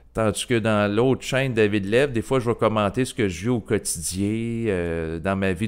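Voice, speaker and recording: Recorded very cleanly against a silent background, a man with a Quebec accent speaks at a moderate pace in a fairly low voice. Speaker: YouTuber. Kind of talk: solo video monologue, improvised. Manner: hesitant, many filler sounds.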